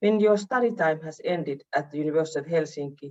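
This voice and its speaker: A woman's very deep, low voice with a Finnish accent, dark, mellow tone and ordinary pitch variation. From Finland. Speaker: university vice-rector and professor. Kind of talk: welcome speech. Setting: online video meeting.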